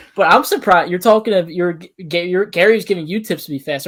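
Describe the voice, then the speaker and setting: At a very fast pace, a man with an American accent speaks at a high pitch with ordinary pitch variation. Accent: slight Delco accent, by some people's account. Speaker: podcast co-host. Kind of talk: casual chat.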